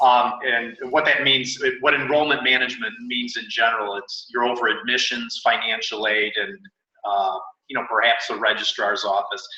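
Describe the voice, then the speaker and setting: A man with a Chicago accent speaks at a medium pitch. His pace is moderate. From US Midwest, Chicago. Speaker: university admissions director. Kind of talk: interview. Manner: hesitant, many fillers.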